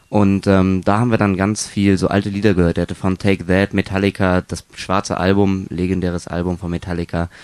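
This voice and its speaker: Fairly quick, nearly pause-free delivery in a flat monotone, with a dry, close sound and no echo. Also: man, very deep, low pitch for a man. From northern Germany, near Kiel. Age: 20s. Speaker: windsurf and wingfoil instructor. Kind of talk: interview.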